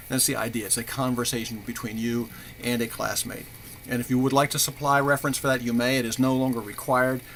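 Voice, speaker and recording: Over noticeable background noise, a man talks at a very fast pace. His medium pitch carries a monotone, flat intonation. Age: 70s. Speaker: university professor. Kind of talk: recorded course announcement. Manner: halting, many fillers and repetitions.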